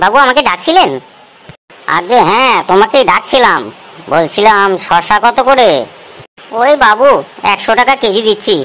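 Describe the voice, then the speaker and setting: A cartoonish character voice moves at a moderate pace with lively intonation. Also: woman, fairly high pitch for a woman. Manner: deferential salesman, calls customers babu.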